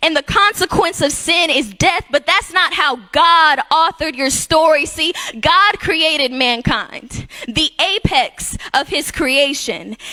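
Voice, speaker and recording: A woman speaks in an extremely high pitch with a raised, projected voice, very even loudness and lively intonation. Her pace is very slow, with noticeable noise in the background. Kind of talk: spoken word poetry performance in a church. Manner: rhythmic, rhyming, preaching delivery.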